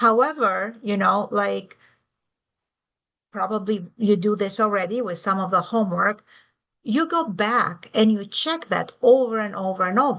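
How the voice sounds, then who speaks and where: Over a quiet background, a woman with a European accent talks at a fairly slow pace in a bright, sharp tone and fairly high pitch. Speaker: university tech director and lecturer. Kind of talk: lecture.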